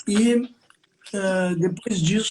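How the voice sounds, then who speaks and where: His pitch moves in an ordinary way as a man talks. The recording is dry and close, without any echo. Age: 70s. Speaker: retired biochemist and bamboo grower. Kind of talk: live-stream interview. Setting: online live stream from home.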